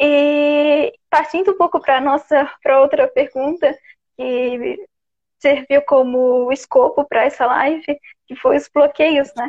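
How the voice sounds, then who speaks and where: A woman speaks very slowly in a high pitch, her pitch varying in an ordinary way. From Santa Catarina, Brazil (Florianópolis). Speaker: podcast host. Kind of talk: live-stream conversation. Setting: live stream on Instagram.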